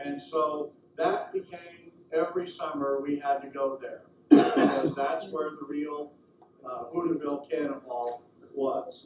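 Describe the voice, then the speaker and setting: A man's fairly high voice with an American accent at a fairly slow pace, fairly even in intonation, with big swings in loudness and noticeable background noise. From Southern California. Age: 50s. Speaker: railroad superintendent and historical presenter. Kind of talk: presentation to audience. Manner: halting, many fillers.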